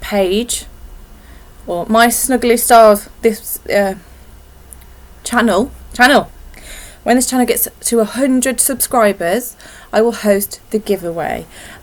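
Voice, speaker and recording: A woman mumbles at a very slow pace. Her fairly high pitch shows ordinary variation. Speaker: knitting podcaster. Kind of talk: casual vlog chat. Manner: mumbling.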